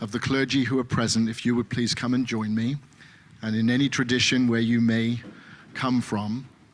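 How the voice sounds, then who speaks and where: This speaker has an English accent and a moderate pace. The intonation is monotone and flat. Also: man, medium pitch for a man. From England. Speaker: pastor. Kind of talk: speech in a worship service. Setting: synagogue service, live-streamed. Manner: hesitant, many fillers.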